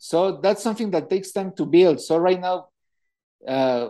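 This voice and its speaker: A high-pitched man at a fairly quick pace, with a Mexican accent. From Mexico. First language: Spanish. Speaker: wrestling promoter. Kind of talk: interview. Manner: halting.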